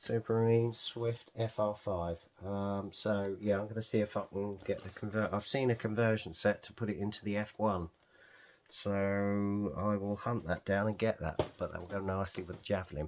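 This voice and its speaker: In an English accent, a man with a fairly low voice speaks at a moderate pace. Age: 60s. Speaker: scale model hobbyist. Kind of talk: casual unboxing video. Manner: chatty, with fillers.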